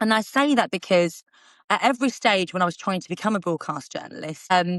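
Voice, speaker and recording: A woman with an Essex accent talks at a fairly quick pace with lively intonation. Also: medium pitch for a woman. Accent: Essex accent, people comment on it. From Essex, England. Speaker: TV reporter and presenter. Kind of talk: interview. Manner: fast.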